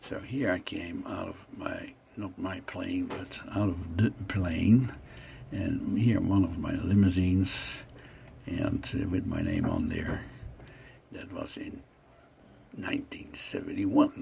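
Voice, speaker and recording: Speaking very slowly with long, frequent pauses, a man is heard over noticeable background noise. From Netherlands, The Hague. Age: 60s. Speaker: vlogger telling his life story. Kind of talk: narrating own photos. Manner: casual, halting.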